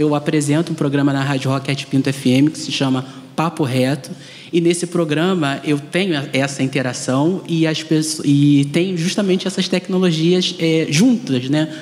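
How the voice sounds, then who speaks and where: A man talks with a fairly high pitch. Noticeable background noise sits behind him. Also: ordinary pitch variation, moderate pace. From Brazil, Rio de Janeiro west zone. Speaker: journalist and radio presenter. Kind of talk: panel discussion.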